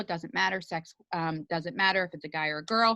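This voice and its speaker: A woman's bright, sharp voice with lively intonation comes through with a dry, close sound and no echo. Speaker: network marketing team leader. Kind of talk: team training session. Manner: fast; animated.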